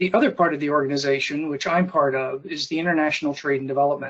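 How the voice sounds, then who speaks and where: A plain, everyday voice from a man, fairly high in pitch, with fairly even intonation. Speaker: trade development director. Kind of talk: webinar presentation. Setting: video call.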